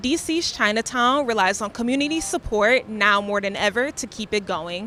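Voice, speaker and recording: Over noticeable background noise, a woman with a fairly high pitch speaks at a moderate pace using lively intonation. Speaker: student news reporter. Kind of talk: TV news report.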